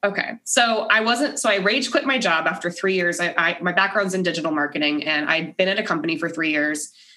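A woman with a fairly low voice speaks at a fairly quick clip in an animated, energetic tone, with lively intonation, hardly any pauses and noticeable background noise. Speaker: podcaster and Navy spouse. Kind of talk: casual chat. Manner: animated, energetic storyteller.

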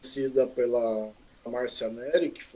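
A man speaks at a moderate pace. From Mogi das Cruzes, São Paulo state, Brazil. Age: 40s. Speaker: craft brewer. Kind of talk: casual interview chat.

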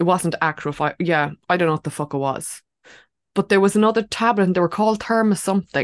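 Speaking at a very fast pace with an Irish accent, the voice shows ordinary pitch variation over a quiet background. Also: woman, medium pitch for a woman, dry, close sound with no echo. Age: 30s. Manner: animated.

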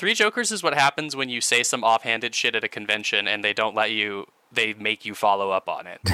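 Bright and sharp in tone, a man's voice moves at a fairly quick pace with hardly any pauses and ordinary pitch variation, sounding dry and close with no echo. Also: medium pitch for a man. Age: 30s. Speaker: podcast co-host. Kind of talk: casual chat.

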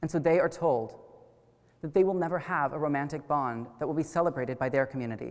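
Talking at a very fast pace, a man with an American accent and a fairly high pitch uses ordinary pitch variation. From US Midwest, Wichita, Kansas. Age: 20s. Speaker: college student speaker. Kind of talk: public lecture. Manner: formal.

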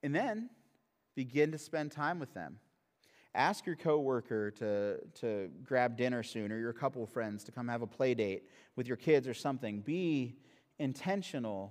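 This man has a plain, everyday voice at medium pitch with ordinary pitch variation, speaking at a moderate pace on a very clean recording with a silent background. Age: 30s. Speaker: pastor. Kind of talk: sermon. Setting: church.

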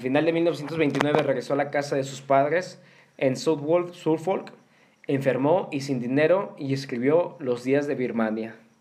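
Here a man speaks with a Mexican accent. His pitch is medium, with ordinary pitch variation. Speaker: podcast host. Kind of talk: casual chat; reading aloud.

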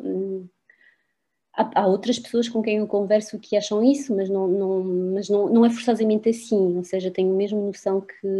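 A woman with a fairly high voice speaks at a moderate pace, her intonation fairly even. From France. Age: 50s. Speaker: university professor. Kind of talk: interview. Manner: halting.

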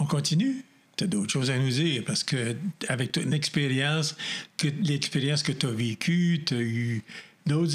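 This man has a fairly high, somewhat breathy voice. He talks at a fairly slow pace with ordinary pitch variation. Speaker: pastor and radio host. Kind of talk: interview.

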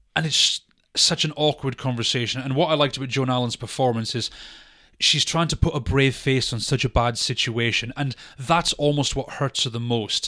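At medium pitch and a moderate pace, a man speaks with a bright, sharp tone and fairly even intonation on a very clean recording with a silent background. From Britain. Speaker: film podcast co-host. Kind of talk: casual chat.

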